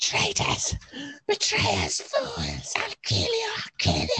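Shouting very slowly, the speaker uses a raspy, put-on character voice. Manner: screaming with hateful rage.

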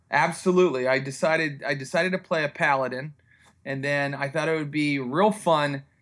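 A man with an American accent, an ordinary speaking voice, fairly high pitch, fairly even intonation and a fairly quick pace. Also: very clean recording, silent background. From US, West Virginia (Morgantown). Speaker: comedy writer. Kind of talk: casual chat.

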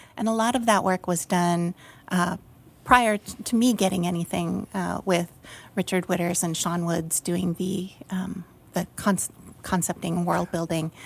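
Fairly low, somewhat breathy female voice at a fairly slow pace, with fairly even intonation. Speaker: art director. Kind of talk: casual chat. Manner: hesitant, many fillers.

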